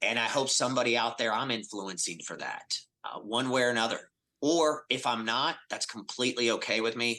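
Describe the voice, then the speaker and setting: Speaking at a fairly quick pace, the man has a medium pitch, ordinary pitch variation and a bright, sharp tone over a quiet background. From Atlanta, US South. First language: Spanish. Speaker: business executive. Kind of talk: podcast interview.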